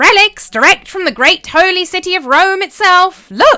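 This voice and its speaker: Over faint music, a woman uses a put-on character voice that is squeaky, shrill and extremely high-pitched, at a moderate pace. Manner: loud, hawking his wares.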